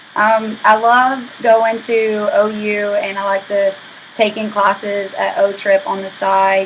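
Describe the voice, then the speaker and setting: Noticeable background noise sits under a woman's medium-pitched voice. She speaks at a very slow pace with fairly even intonation. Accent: American. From Oklahoma (Madill, small town). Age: 20s. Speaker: university student. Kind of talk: class introduction video. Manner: casual, with fillers.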